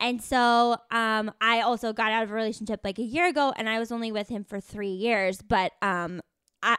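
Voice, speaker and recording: A woman's unremarkable speaking voice, fairly high in pitch, at a moderate pace, dry and close with no echo, on a very clean recording with a silent background. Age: 20s. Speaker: podcast host. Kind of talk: casual chat. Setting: in a car.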